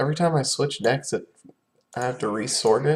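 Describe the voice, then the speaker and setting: Quiet and somewhat breathy, a man speaks at a moderate pace with a fairly high pitch and ordinary pitch variation. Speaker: game streamer. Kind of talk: gameplay commentary. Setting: at home. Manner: halting.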